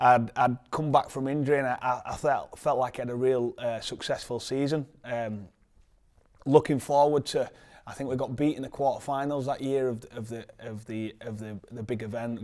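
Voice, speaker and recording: Someone speaks with a Yorkshire accent and fairly even intonation. The recording is very clean with a silent background. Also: man, big swings in loudness. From northern England, Leeds. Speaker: professional rugby league player. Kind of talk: interview. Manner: halting, many fillers and repeats.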